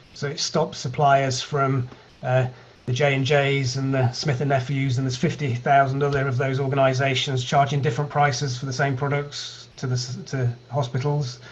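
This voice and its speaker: A man with a British accent, flat monotone intonation and a moderate pace. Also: medium pitch for a man. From UK. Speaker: data analytics company founder. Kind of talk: online meetup presentation.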